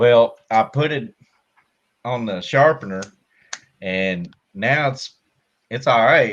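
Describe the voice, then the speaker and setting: A man with a strong Southern US accent at medium pitch, very slow in pace, with ordinary pitch variation and long, frequent pauses. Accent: strong country Southern. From Kentucky, US South. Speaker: army veteran, tank loader. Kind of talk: casual live-stream chat. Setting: hot room at home, air conditioner off.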